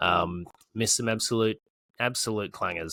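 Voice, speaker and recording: With an Australian accent and a bright, sharp tone, a man speaks at a fairly low pitch with ordinary pitch variation on a very clean recording with a silent background. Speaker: fantasy football podcast host. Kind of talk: casual chat. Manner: hesitant, many ums.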